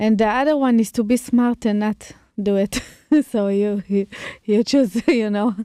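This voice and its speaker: A woman with an Israeli accent speaks in a dark, mellow tone with very even loudness and fairly even intonation, and the sound is dry and close with no echo. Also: fairly high pitch for a woman, moderate pace. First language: Hebrew. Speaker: chef and restaurateur. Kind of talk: casual chat. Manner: halting.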